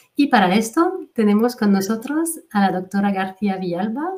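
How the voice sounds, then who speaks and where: At a fairly slow pace, a woman talks at a medium pitch with lively intonation. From France. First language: French (speaking Spanish). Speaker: fertility coach, webinar moderator. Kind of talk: webinar introduction. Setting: online webinar.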